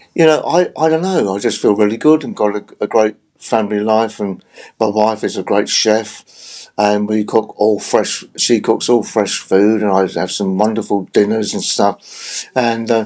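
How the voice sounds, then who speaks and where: Using ordinary pitch variation, a man with a London accent speaks at a moderate pace in a fairly low pitch. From South London, England. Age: 70s. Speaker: retired rock drummer. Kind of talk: interview. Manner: halting, many fillers.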